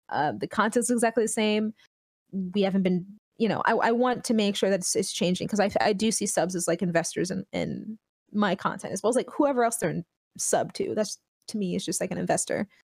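A woman with vocal fry and medium pitch speaks fairly quickly with ordinary pitch variation, the sound dry and close with no echo. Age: 20s. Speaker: streamer. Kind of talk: casual chat.

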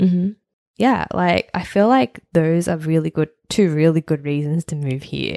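This woman has an Australian accent and a moderate pace. Her pitch varies in an ordinary way. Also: dry, close sound with no echo. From Sydney, Australia. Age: 30s. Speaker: podcast co-host. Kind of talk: casual chat.

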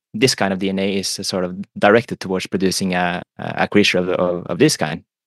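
With a Norwegian accent and a very deep, low pitch, a man talks at a fairly quick pace with ordinary pitch variation, the sound dry and close with no echo over a quiet background. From Norway. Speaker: philosopher and economist. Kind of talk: casual chat. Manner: halting.

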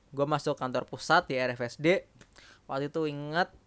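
A man's fairly high-pitched voice with fairly even intonation. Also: dry, close sound with no echo. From East Java, Jember. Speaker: podcast co-host, banker. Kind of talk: casual chat.

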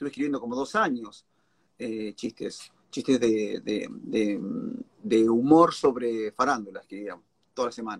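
With a Rioplatense accent, a man talks at a fairly slow pace and medium pitch, with ordinary pitch variation and big swings in loudness. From Argentina, La Plata. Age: 40s. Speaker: stand-up comedian. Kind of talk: casual interview.

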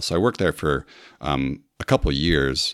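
A man with an American accent and a very deep, low pitch talks very fast with vocal fry, in a dry, close sound with no echo. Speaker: former podcast host, Lego enthusiast. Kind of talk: casual interview chat.

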